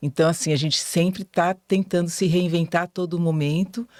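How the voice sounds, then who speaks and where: A woman with a normal speaking voice talks at a fairly low pitch, with ordinary pitch variation. The sound is dry and close with no echo, and the recording is very clean against a silent background. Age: 60s. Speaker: teacher and journalism student. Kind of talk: podcast interview. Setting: studio.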